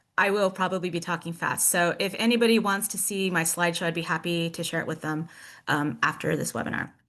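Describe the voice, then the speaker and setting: A woman talks at a very fast pace in a fairly low pitch. The background is quiet. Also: ordinary pitch variation. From Mexico. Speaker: museum specialist presenting at a webinar. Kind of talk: webinar presentation.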